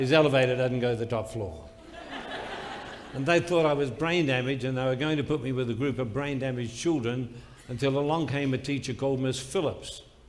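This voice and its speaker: A man speaks at a fairly quick pace in an Australian accent, his medium pitch showing ordinary variation, with audible room echo and noticeable background noise. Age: 80s+. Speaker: motivational speaker. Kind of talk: motivational speech.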